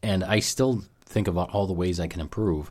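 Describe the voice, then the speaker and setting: Very deep and low, a man's voice moves at a fairly quick pace with ordinary pitch variation over a silent background in a very clean recording. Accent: American. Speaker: podcast host. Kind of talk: casual chat.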